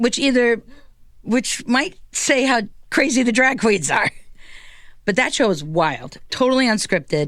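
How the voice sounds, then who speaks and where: A woman talks at a fairly high pitch with vocal fry, very wide pitch swings and an animated tone. Her loudness stays very even, and she takes long, frequent pauses. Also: fairly slow pace. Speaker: comedian and drag king entertainer. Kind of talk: casual chat. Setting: studio.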